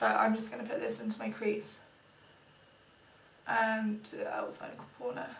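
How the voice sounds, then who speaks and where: Quiet and with long, frequent pauses, a woman with a British accent speaks at a moderate pace amid audible room echo and noticeable background noise. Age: 20s. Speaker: beauty vlogger. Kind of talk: casual vlog monologue.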